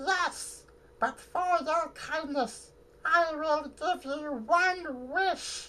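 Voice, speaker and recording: A put-on character voice, squeaky and high-pitched, moves at a very slow pace. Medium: solo performance. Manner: polite, pleading.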